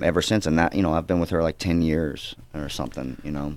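A man with a very deep, low pitch speaks with a slight Southern US accent. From US South, Georgia. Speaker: actor. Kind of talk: casual interview chat.

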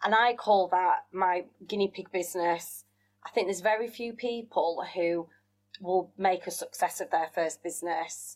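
A woman with a Yorkshire accent and fairly even intonation. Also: medium pitch for a woman, moderate pace. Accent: Yorkshire, northern English. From West Yorkshire, England. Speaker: business owner and former TV contestant. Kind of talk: casual interview chat.

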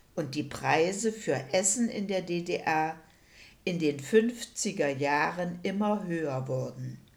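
Very slow and fairly low-pitched, a woman speaks. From Saxony-Anhalt, rural Elbe area. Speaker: retired primary school teacher, eyewitness. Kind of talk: oral history interview.

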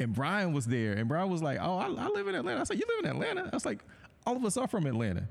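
Amid noticeable background noise, a man with an American accent talks at a very fast pace. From US South, Georgia. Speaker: tech business owner, chemistry alumnus. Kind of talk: casual chat.

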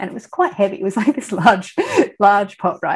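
A woman speaks with an Australian accent. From Australia, country town. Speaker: artist. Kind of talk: interview.

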